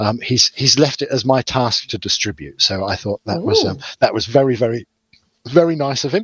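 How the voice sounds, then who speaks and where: In an unremarkable speaking voice, a medium-pitched man talks at a fairly quick pace with lively intonation. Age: 40s. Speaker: podcast co-host. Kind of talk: casual chat.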